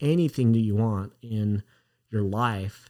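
On a very clean recording with a silent background, a man with an American accent speaks in an ordinary speaking voice, medium in pitch, with ordinary pitch variation at a moderate pace. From Utah. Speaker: podcast host.

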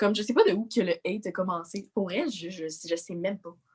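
In a Quebec accent, a woman speaks with lively intonation. Her pitch sits in the medium range. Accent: Québécois French. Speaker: social media influencer. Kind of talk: casual chat.

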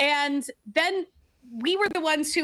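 At a fairly slow pace, a woman uses a raised, projected voice with a bright, sharp tone. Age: 30s. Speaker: screenwriting video writer and podcaster. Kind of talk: casual chat.

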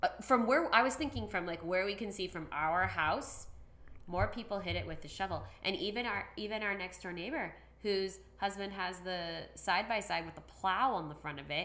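The voice has a bright, sharp tone with vocal fry. Its intonation is lively, with big swings in loudness. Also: woman. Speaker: podcast host, school worker. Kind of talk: casual chat.

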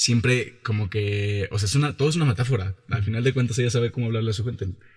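A man's medium-pitched, somewhat breathy voice moves through ordinary pitch changes. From Mexico, Jalisco. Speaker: actor. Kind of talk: interview. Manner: casual, colloquial.

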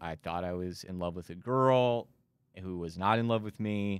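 On a very clean recording with a silent background, a man with an American accent uses a normal speaking voice, fairly low in pitch, with ordinary pitch variation at a moderate pace. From Texas Panhandle, Amarillo. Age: 30s. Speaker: recovery podcaster and volunteer. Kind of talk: testimony. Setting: studio.

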